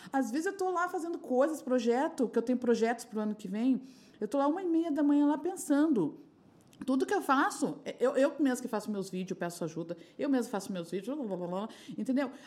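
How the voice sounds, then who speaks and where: A high-pitched woman talks at a fairly quick pace with very wide pitch swings. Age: 40s. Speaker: sex shop entrepreneur and sex educator. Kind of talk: casual chat.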